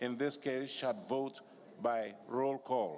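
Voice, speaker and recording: Here a man speaks very slowly at a medium pitch. His pitch varies in an ordinary way. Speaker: parliamentary union secretary general. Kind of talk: formal procedural explanation. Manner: loud; formal.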